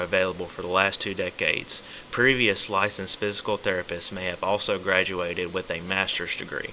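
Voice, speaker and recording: Over noticeable background noise, a man speaks in a fairly low pitch at a fairly quick pace. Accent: American. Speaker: physical therapy student. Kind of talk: educational presentation.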